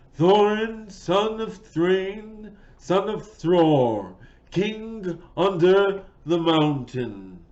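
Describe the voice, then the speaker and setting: A man's put-on character voice, high-pitched, at a very slow pace. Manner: loud, proud, declaring.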